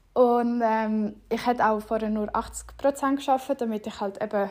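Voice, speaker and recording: This is a woman's voice. Her pitch is fairly high. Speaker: podcast host. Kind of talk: casual monologue.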